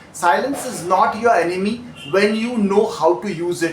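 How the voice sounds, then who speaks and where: A man speaks in a calm tone at a moderate pace and a high pitch. Noticeable background noise can be heard. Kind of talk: call center training narration. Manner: calm, clear, instructional.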